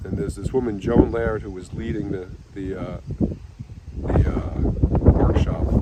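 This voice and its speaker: A man with an American accent has a very deep, low pitch and very wide pitch swings. Noticeable background noise runs behind him. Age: 70s. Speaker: psychotherapist. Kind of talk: personal storytelling. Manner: halting.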